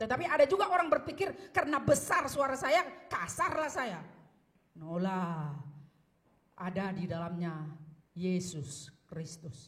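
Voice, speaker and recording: Speaking at a fairly slow pace with long, frequent pauses, a woman of medium pitch makes very wide pitch swings. Audible room echo is present. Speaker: pastor. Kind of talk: sermon. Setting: church.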